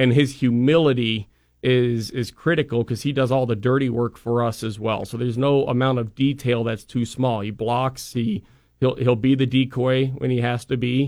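At a moderate pace, the speaker uses a monotone, flat intonation with an American accent. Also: man, medium pitch for a man. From Idaho (Boise). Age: 30s. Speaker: football analyst. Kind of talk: radio interview. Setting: studio.

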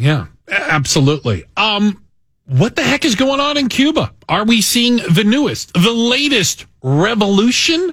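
Speaking fairly slowly, a man with a high pitch makes very wide pitch swings while keeping his loudness very even. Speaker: radio host. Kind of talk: live talk radio show, conversational interviews. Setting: studio.

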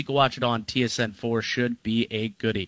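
A man with a Canadian accent speaks at a medium pitch and moderate pace, in a bright, sharp tone with fairly even intonation. The recording is very clean, with a silent background and a dry, close sound with no echo. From Ontario, Niagara region. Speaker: sports radio host. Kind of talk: casual sports talk.

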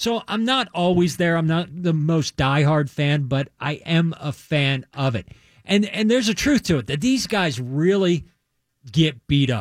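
In a very clean recording with a silent background, a man with a normal speaking voice talks fairly slowly at a fairly high pitch, using lively intonation. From US East Coast (Maryland). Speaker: sports radio co-panelist. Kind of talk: casual sports talk radio. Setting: radio studio.

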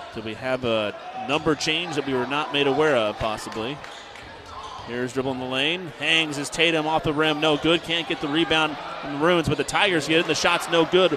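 Against noticeable background noise, a man with a fairly high pitch talks at a fairly quick pace with ordinary pitch variation. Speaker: play-by-play radio announcer. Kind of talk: live sports commentary. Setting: gym, radio broadcast. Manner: rapid, energetic play-by-play.

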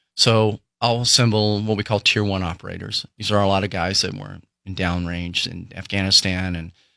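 Very clean, silent-background recording of a man's fairly low voice, bright and sharp in tone, with ordinary pitch variation. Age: 60s. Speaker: former CIA officer, founder of child-rescue nonprofit. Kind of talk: interview.

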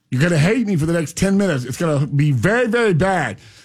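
Loud and animated, a man with a Florida accent talks at a fairly quick pace with very wide pitch swings. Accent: US Southern (Florida). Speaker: radio host and farmer. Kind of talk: casual chat. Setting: radio studio.

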